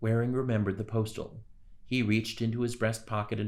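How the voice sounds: The speaker uses a natural reading voice. The intonation is fairly even.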